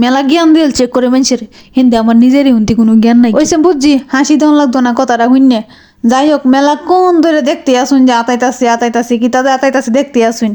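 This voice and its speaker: A woman's high-pitched voice has a dark, mellow tone and very even loudness. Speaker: vlogger. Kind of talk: casual vlog monologue. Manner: animated.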